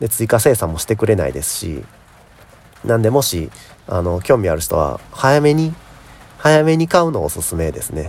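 A fairly low male voice at a moderate pace, very wide pitch swings, big swings in loudness, and long, frequent pauses. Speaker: podcaster and YouTuber. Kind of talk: casual solo talk. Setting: recording outdoors in rain.

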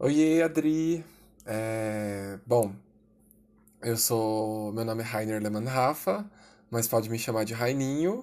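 Ordinary pitch variation marks this man's speech. He goes at a very slow pace with long, frequent pauses. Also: medium pitch for a man, very clean recording, silent background. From Brazil, São Paulo city. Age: 20s. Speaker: writer and witchcraft enthusiast. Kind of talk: casual interview.

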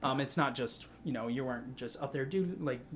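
Using a plain, everyday voice, a man talks at medium pitch and a moderate speed. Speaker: podcast host. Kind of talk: casual chat, faith discussion.

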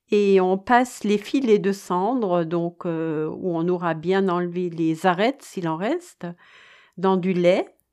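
A woman's medium-pitched voice with a dark, mellow tone at a very slow pace. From Alsace, France. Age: 60s. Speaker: home cook sharing family recipes. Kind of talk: recipe explanation with childhood memories. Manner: hesitant with frequent fillers.

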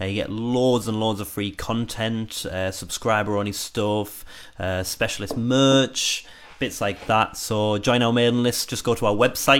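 In an ordinary speaking voice, the words come at a fairly slow pace with fairly even intonation on a very clean recording with a silent background. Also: man, medium pitch for a man. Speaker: musician and guitarist, band member. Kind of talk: casual livestream chat about making a song. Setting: live stream. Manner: chatty, laughs often.

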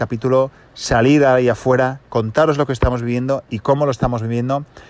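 Over noticeable background noise, a man speaks at a fairly quick pace in a medium pitch. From Asturias, Spain. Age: 30s. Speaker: podcast host. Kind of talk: casual monologue. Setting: in a car.

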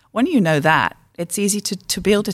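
With vocal fry and a fairly low pitch, this woman talks at a moderate pace. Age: 50s. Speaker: communication trainer and author. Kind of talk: interview conversation. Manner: halting, many fillers and restarts.

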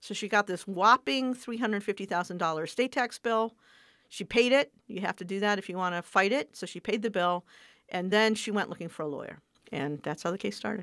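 A woman speaks in an ordinary speaking voice at a medium pitch, with ordinary pitch variation and big swings in loudness. The sound is dry and close with no echo, on a very clean recording with a silent background. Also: moderate pace. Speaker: civil rights lawyer. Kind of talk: interview.

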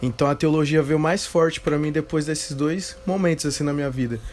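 A man with an ordinary speaking voice talks at a moderate pace and a fairly high pitch, with ordinary pitch variation. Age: 20s. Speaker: theology student and church member. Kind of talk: casual interview conversation.

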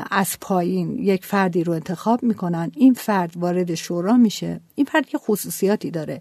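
A woman's dark, mellow tone carries ordinary pitch variation over a quiet background. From Iran, Qazvin. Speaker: NGO co-founder. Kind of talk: interview.

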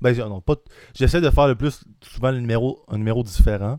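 This man talks at a moderate pace with a medium pitch, an ordinary speaking voice. The recording is very clean, with a silent background. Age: 20s. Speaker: aspiring stand-up comedian. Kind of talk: casual chat.

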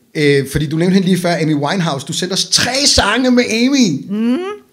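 Pitch swings very widely in speech that keeps a moderate pace. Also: man. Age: 40s. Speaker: podcast host. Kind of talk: casual chat.

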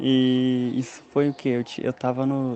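Noticeable background noise sits behind a man speaking with monotone, flat intonation. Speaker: listener, aspiring comedian. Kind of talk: voice message.

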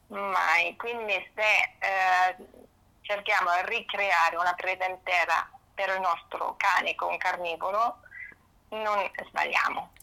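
A bright, sharp voice in a German accent, spoken very slowly with long, frequent pauses. Loudness stays very even and the intonation is flat and monotone. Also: woman, medium pitch for a woman. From northern Germany. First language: German (speaking Italian). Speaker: pet nutrition consultant. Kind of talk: interview.

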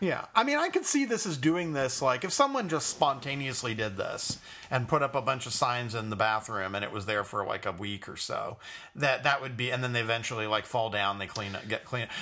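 A man talks at a fairly quick pace in a medium pitch with ordinary pitch variation. He has a plain, everyday voice. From US West Coast, Los Angeles. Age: 30s. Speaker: podcast co-host. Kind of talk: casual political chat.

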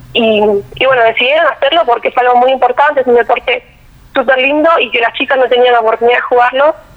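A high-pitched woman rushes along at a very fast pace with fairly even intonation over noticeable background noise. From Argentina, Quilmes (Buenos Aires). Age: 20s. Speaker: engineering student and athlete. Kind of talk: interview.

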